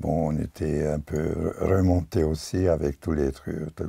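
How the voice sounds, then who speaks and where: A man's very deep, low voice with ordinary pitch variation amid noticeable background noise. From Hungary / Czechoslovakia border region. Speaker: painter and filmmaker. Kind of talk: interview. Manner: halting.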